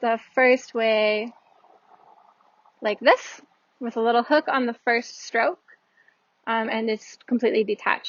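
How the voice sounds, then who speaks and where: A woman speaks at a fairly slow pace, leaving long, frequent pauses. Her voice is fairly high in pitch, with fairly even intonation. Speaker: Japanese language teacher. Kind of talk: language lesson explanation. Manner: casual, hesitant.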